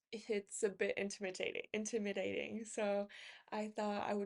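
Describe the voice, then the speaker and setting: A woman's medium-pitched voice comes with a non-native accent. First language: not English. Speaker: book YouTuber. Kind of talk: casual book haul talk. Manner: halting, many fillers.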